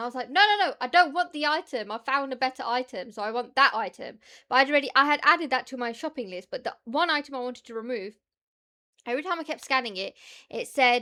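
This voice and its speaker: On a very clean recording with a silent background, a woman speaks in a high, raised, projected voice with a bright, sharp tone, lively intonation, big swings in loudness and a very fast pace. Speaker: streamer reacting to videos. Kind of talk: casual chat. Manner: animated.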